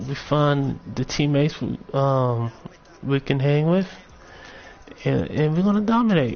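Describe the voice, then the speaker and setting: Speaking at a fairly slow pace with long, frequent pauses, a man uses lively intonation in a fairly high voice. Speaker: gaming streamer. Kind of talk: live stream commentary on game builds. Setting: live broadcast. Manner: halting, self-correcting; casual.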